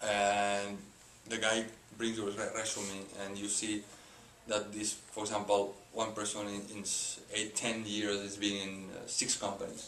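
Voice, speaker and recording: A man's fairly low, monotone, flat voice at a fairly slow pace, with noticeable background noise and audible room echo. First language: not English. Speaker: sales professional. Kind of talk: interview. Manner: halting.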